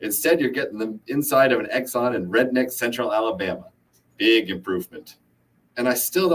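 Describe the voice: Lively intonation in plain reading aloud.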